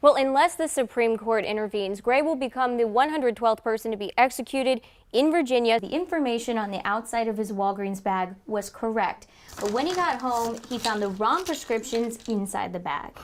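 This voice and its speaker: Over noticeable background noise, a woman with an American accent and a fairly high pitch speaks at a fairly quick pace with ordinary pitch variation. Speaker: TV investigative reporter and fill-in anchor. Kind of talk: news package voiceover.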